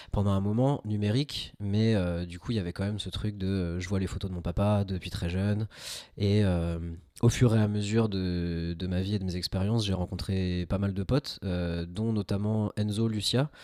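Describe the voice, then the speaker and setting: A normal speaking voice from a man, fairly low in pitch, with fairly even intonation and a moderate pace, in a very clean recording with a silent background. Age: 20s. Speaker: amateur film photographer, web developer. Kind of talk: casual podcast conversation. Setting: home podcast setup.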